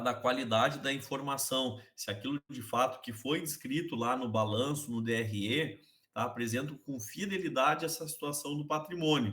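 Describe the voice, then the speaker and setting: A man talks with a normal speaking voice. His pace is fairly slow, with ordinary pitch variation. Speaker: accounting teacher. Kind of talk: online class lecture.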